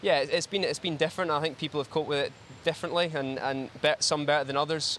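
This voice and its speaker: Speaking very fast with a Glaswegian accent, a man with a fairly high pitch talks over noticeable background noise. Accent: Glaswegian Scottish. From Scotland, Glasgow. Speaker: swimmer. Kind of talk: post-event interview. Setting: studio. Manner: hesitant, many fillers.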